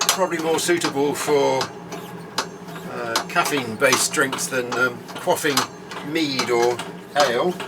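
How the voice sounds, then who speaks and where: A man talks at a fairly slow pace with long, frequent pauses, his pitch fairly high with ordinary variation. His loudness stays very even over noticeable background noise. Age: 70s. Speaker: potter. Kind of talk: tutorial. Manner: relaxed, conversational.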